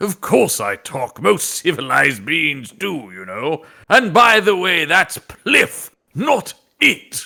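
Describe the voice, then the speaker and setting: A man with a British accent uses a put-on character voice, pitched high and delivered at a fairly slow pace. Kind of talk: polite, posh, civilized. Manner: prim, indignant.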